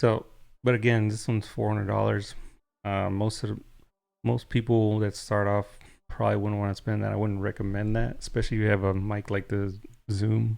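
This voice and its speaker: A man speaks in a flat monotone with a dark, mellow tone and fairly low pitch. The recording is very clean, with a silent background. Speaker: tech reviewer, streamer. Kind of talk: product review on live stream. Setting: live stream. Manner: casual, conversational.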